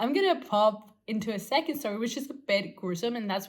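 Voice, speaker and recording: A woman talks with a non-native accent. Her pace is moderate and her pitch varies in an ordinary way. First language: not English. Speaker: former tattoo artist, vlogger. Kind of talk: casual storytelling vlog. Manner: halting, lots of fillers.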